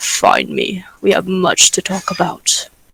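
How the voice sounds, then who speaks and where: A raspy, put-on character voice is used here. The delivery comes at a fairly slow pace. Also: man. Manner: mysterious, commanding.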